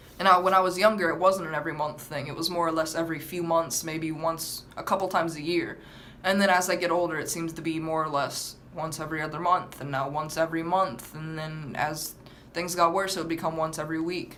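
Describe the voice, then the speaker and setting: A woman speaks fairly quickly at a fairly low pitch, in a monotone, flat intonation. There is audible room echo and noticeable background noise. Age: 18. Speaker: vlogger. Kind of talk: story time vlog. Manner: fast; halting, with stammered restarts.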